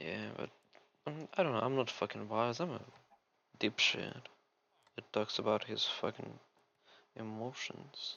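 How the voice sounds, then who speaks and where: A man's medium-pitched voice with a non-native accent, fairly slow, with ordinary pitch variation. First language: Russian. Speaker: gaming youtuber. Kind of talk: casual gameplay rant. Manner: rambling, distracted.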